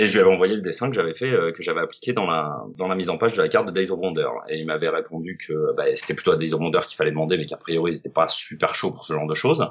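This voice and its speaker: Against noticeable background noise, a man rattles along at a very fast pace with hardly any pauses. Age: 30s. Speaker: board game illustrator. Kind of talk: casual interview. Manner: halting, many fillers.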